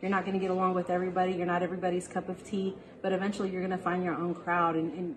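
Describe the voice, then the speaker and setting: A woman with an American accent, medium-pitched, at a very fast pace, over noticeable background noise. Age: 40s. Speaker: business office manager. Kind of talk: interview testimony. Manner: halting.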